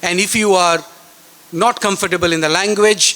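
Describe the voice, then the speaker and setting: Over noticeable background noise, a man with a Bengali accent talks at a moderate pace in a high pitch with ordinary pitch variation. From India, West Bengal. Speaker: chief guest speaker at school science fair. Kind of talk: speech to students.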